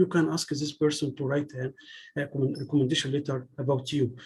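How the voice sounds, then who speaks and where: A man with an Arabic accent speaks at a fairly quick pace. His tone is dark and mellow and somewhat breathy. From Egypt. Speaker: PhD student giving a talk. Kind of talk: lecture. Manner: halting, with frequent restarts.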